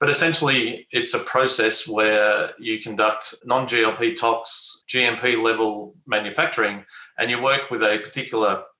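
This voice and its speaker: This man has an Australian accent and a bright, sharp tone. He talks at a moderate pace with fairly even intonation and very even loudness. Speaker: biotech company executive. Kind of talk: interview.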